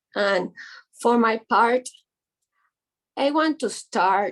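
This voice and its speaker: A woman speaks very slowly in a Spanish accent. Her intonation is lively. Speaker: image consultant. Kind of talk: reading aloud. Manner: halting.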